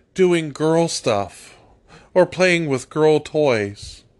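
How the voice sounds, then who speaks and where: Very slow, lively intonation from a man with an American accent against a quiet background. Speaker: political commentator podcaster. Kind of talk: angry political rant, monologue. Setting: solo at a microphone. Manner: furious, seething, barely holding back cussing; emphatic, fired-up, defiant.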